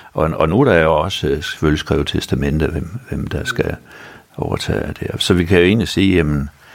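Over noticeable background noise, a man with a very deep, low voice speaks at a moderate pace with ordinary pitch variation. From North Jutland, Denmark. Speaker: retired dentist, prostate cancer patient. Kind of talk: interview.

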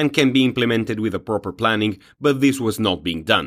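Over a very clean recording with a silent background, a man talks in an ordinary speaking voice at a fairly quick pace, with fairly low pitch and ordinary pitch variation. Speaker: news presenter. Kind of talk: news reading. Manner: formal; steady, measured delivery.

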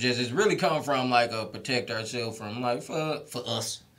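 A man speaks at a moderate pace in a medium pitch, with ordinary pitch variation and audible room echo. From Detroit, Michigan. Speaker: stand-up comedian. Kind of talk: casual interview chat. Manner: animated.

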